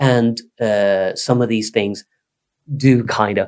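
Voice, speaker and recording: A man talks at a very slow pace with a Swedish accent. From Sweden. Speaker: psychotherapist. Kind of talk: casual chat. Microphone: poor recording quality, quiet.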